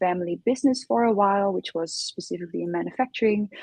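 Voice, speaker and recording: A woman's medium-pitched voice with a Dutch accent and ordinary pitch variation. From Netherlands. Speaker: innovation consultant. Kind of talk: interview. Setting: live stream.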